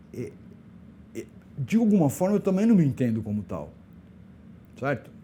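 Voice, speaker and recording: Very wide pitch swings run through a voice with a dark, mellow tone. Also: man. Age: 60s. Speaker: LGBT elder rights activist. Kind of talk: podcast interview.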